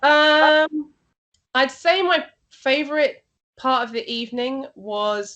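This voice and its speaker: Against a quiet background, a woman talks with lively, varied intonation. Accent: Yorkshire. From Yorkshire, northern England. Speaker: rock and metal radio and TV presenter. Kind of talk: interview. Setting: video call.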